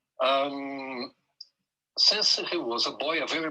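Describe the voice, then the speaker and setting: A man with a Brazilian Portuguese accent speaks at a fairly high pitch. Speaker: conductor, son of a musician. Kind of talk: interview storytelling. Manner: halting, many hesitations.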